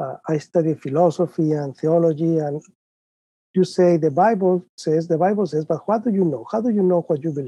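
A man with a Spanish accent talks at a fairly quick pace, his high-pitched voice dark and mellow in tone with ordinary pitch variation. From Mexico, Guadalajara. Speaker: professor. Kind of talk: interview.

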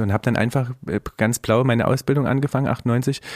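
A man with a medium-pitched voice and fairly even intonation is heard on a very clean recording with a silent background and a dry, close sound with no echo. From Saxony, Riesa. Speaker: chef. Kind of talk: casual chat. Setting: studio.

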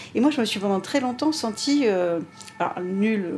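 Over noticeable background noise, a woman speaks at a fairly high pitch with lively intonation. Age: 50s. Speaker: pastry chef and restaurant owner. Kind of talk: interview conversation.

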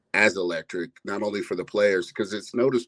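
The sound is dry and close with no echo as a man with an American accent speaks with ordinary pitch variation. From US (Ohio). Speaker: phone-in caller, football fan. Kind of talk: casual phone-in chat.

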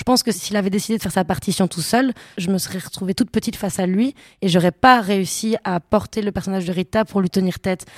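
Fairly even intonation comes through on a very clean recording with a silent background and a dry, close sound with no echo. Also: woman. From Belgium, Brussels. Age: 20s. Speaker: actress. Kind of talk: casual interview. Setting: hotel room.

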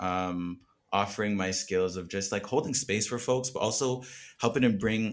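A man with an ordinary speaking voice talks at a moderate pace in a fairly low pitch with fairly even intonation. The recording is very clean, with a silent background. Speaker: new podcast team member. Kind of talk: casual chat.

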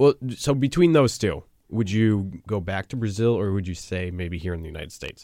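In a very clean recording with a silent background, a dark, mellow voice with a slight New England accent moves at a fairly quick pace with lively intonation and big swings in loudness. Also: man, fairly low pitch for a man. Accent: mild New England. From US Northeast. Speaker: student podcast host. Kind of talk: casual chat.

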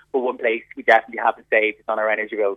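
A man speaks with an Irish accent. His intonation is fairly even. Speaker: consumer pricing spokesperson. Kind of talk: radio interview.

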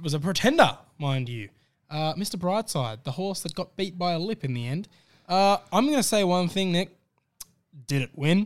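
Lively intonation and a moderate pace carry this voice with an Australian accent, recorded very cleanly against a silent background. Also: man, high pitch for a man. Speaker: racing podcast host. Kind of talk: casual racing analysis chat.

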